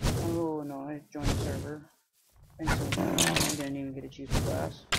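Fairly slow speech from a man with a fairly high pitch, plus audible room echo. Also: ordinary pitch variation, big swings in loudness. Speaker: gaming video creator. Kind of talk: gameplay commentary. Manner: trying to speak louder; hesitant.

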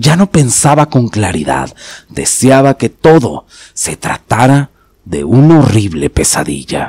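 Dramatic tone from a man at medium pitch, very wide pitch swings, a fairly slow pace, and a dry, close sound with no echo. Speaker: horror story narrator, channel host. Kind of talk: scripted horror story narration, first-person as a character. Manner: suspenseful, dramatic, measured storytelling pace.

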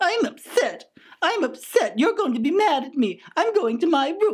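This cartoonish character voice is pitched extremely high, swinging very widely in pitch at a moderate pace. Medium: puppet. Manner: pompous, petulant.

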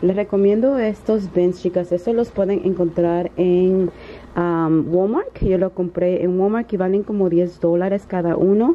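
A woman at a fairly slow pace, fairly even in intonation, with noticeable background noise. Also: medium pitch for a woman. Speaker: vlogger. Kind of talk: casual vlog. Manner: halting, many fillers.

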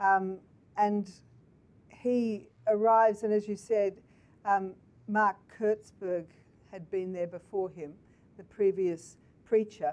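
Very slowly and with long, frequent pauses, a woman speaks in a fairly even intonation. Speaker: interviewer. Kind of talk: interview over video call. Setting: video call. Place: office. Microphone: headset.

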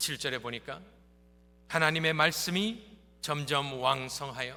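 A man with a bright, sharp tone speaks at a very slow pace amid audible room echo. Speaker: pastor. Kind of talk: sermon.

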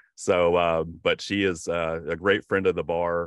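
In a Southern US accent, a man with a very deep, low pitch speaks with a dry sound with no echo against a quiet background. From US South. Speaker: bar association organizer. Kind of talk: webinar introduction. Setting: video call. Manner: halting. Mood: friendly, upbeat. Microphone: video call.

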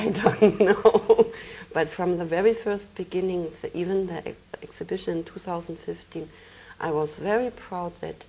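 Intonation is fairly even. The speaker keeps a fairly slow pace. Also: woman. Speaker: interview guest. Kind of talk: interview answer. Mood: calm, reflective. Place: studio. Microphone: lapel.

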